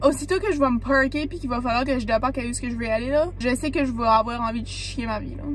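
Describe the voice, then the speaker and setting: Noticeable background noise fills the recording. The talking races at a very fast pace with hardly any pauses. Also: woman, high pitch for a woman, ordinary pitch variation. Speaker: vlogger. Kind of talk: vlog monologue.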